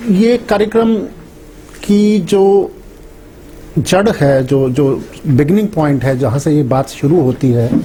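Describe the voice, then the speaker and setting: Amid noticeable background noise and audible room echo, a man with a Haryanvi accent speaks in a fairly high pitch with very wide pitch swings, keeping his loudness very even. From Haryana. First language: Haryanvi (speaking Hindi). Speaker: English professor. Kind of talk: lecture.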